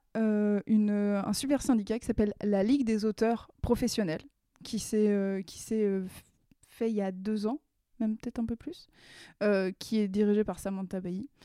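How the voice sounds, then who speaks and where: A woman's fairly high, dark and mellow voice at a fairly slow pace with long, frequent pauses and fairly even intonation, dry and close with no echo in a very clean recording with a silent background. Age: 30s. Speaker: illustrator and comics author. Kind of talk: casual interview. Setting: at home, in her living room.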